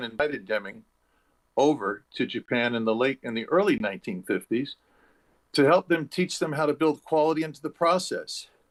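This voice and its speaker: At a fairly quick pace, a man with an American accent talks in a fairly high pitch. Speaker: conference keynote speaker. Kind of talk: speech. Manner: halting, off the cuff.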